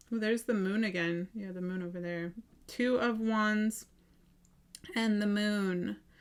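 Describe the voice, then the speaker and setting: Speaking at a fairly slow pace with long, frequent pauses, a woman keeps a medium pitch and fairly even intonation. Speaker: tarot reader. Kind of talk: tarot reading. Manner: halting.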